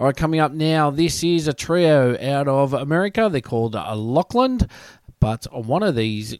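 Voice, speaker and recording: A man with an Australian accent speaks at a moderate pace and a fairly high pitch. His voice makes very wide pitch swings. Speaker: radio host. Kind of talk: radio dj patter, introducing tracks. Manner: upbeat, chatty, friendly.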